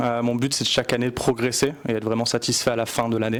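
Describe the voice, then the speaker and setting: This man talks at a very fast pace. His pitch sits in the medium range. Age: 20s. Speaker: motorsport photographer. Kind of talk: casual interview.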